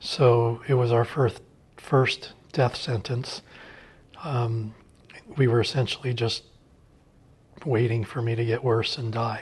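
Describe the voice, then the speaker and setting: Somewhat breathy and flat in intonation, a man of medium pitch speaks very slowly with long, frequent pauses. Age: 60s. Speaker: cancer survivor. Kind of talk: testimony.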